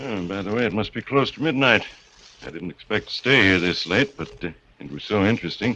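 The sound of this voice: Doing a put-on character voice, a man speaks at a fairly quick pace with lively intonation, a fairly low pitch and a bright, sharp tone with a slightly husky edge.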